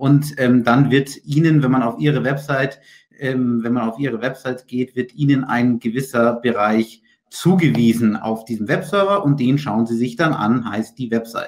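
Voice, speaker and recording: A man with a plain, everyday voice speaks at a medium pitch and a moderate pace, with ordinary pitch variation. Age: 20s. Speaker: IT consultant and managing director. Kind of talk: webinar lecture. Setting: video call.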